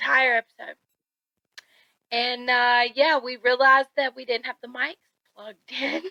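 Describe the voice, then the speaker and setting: Recorded dry and close with no echo, a woman with a high pitch and bright, sharp tone speaks at a moderate pace in a monotone, flat intonation, with big swings in loudness and long, frequent pauses. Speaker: podcast co-host. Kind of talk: casual chat.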